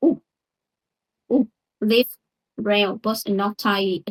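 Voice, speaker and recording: Very slow and somewhat breathy, a woman speaks with fairly even intonation, captured with a dry, close sound with no echo. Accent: non-native. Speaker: English learner. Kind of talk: pronunciation lesson to camera.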